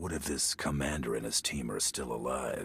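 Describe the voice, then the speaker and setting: The voice is raspy. It is a put-on character voice. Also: man. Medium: video game. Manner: terse, dry.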